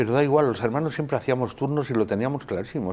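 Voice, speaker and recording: A man is speaking. His pace is very fast. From Spain, Caravaca de la Cruz (Murcia); Murcia, Spain. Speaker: religious brotherhood leader; interview guest. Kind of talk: TV interview. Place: studio. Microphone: lapel.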